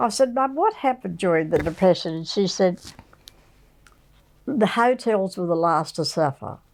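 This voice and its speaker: A woman with an Australian accent at medium pitch, lively intonation, a moderate pace and long, frequent pauses. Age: 80s+. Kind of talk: interview answer. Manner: charming, humorous.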